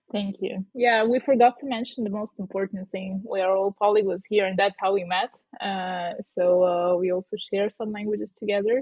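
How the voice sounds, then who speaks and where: At a moderate pace, a woman speaks with a Russian accent. Her voice sits at medium pitch with fairly even intonation. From southern Ukraine. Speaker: podcast co-host. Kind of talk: casual chat. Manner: hesitant, many fillers.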